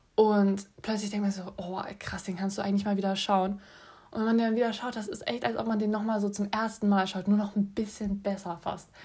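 Her tone dark and mellow, a woman speaks somewhat breathily in a monotone, flat intonation at a fairly quick pace. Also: medium pitch for a woman. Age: 20s. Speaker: podcast host, film student. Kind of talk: casual solo podcast monologue. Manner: chatty, many filler sounds.

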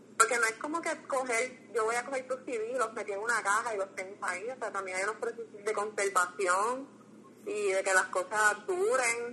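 Spoken in a Puerto Rican accent, the voice moves at a moderate pace with ordinary pitch variation. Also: woman, fairly high pitch for a woman. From Puerto Rico, Las Piedras. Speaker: graduate student and cultural archive founder. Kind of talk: casual interview.

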